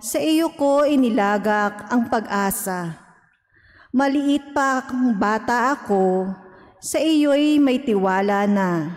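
Lively intonation from a woman at a fairly high pitch and a very slow pace, over a quiet background. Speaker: lector. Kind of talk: scripture reading. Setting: church. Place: church. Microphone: podium.

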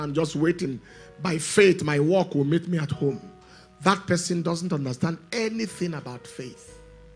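Faint music plays in the background as a man with a high pitch speaks at a moderate pace with ordinary pitch variation. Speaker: preacher. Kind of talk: sermon. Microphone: handheld.

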